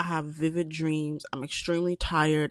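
A moderate pace, with dry, close sound, no echo, and a very clean recording over a silent background. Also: woman. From US. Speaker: podcast co-host. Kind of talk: casual chat.

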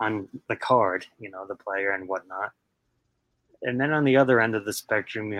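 A man has an unremarkable speaking voice with an American accent. His pitch is fairly low, with ordinary variation. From Queens, New York. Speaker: card collector, hobby content creator. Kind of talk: casual chat.

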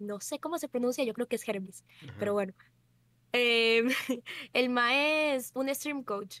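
Her sound is dry and close, with no echo. The woman speaks at a fairly slow pace in a high pitch with ordinary pitch variation. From Costa Rica. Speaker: streamer. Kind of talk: casual chat.

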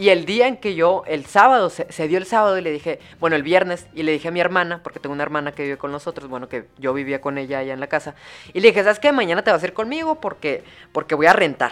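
A woman speaks very fast in a fairly low voice with lively intonation. Her loudness swings widely. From Mexico, Hermosillo, Sonora. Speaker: podcaster. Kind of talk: casual storytelling monologue. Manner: animated, with many fillers.

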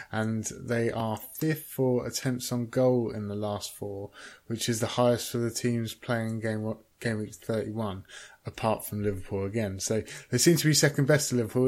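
A man's medium-pitched voice with a British accent, fairly even intonation and a moderate pace, on a very clean recording with a silent background. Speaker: podcast co-host. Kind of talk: casual chat.

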